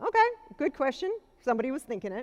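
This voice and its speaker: A woman speaks loudly with a high pitch, captured on a very clean recording with a silent background. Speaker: keynote speaker, cybersecurity executive. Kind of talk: keynote speech. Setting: conference stage with audience.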